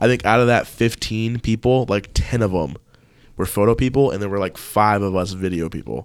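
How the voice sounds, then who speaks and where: A man talks in a plain, everyday voice at a fairly low pitch with ordinary pitch variation. His pace is moderate, and the recording is very clean with a silent background. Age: 20s. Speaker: videographer and photographer. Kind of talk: casual chat.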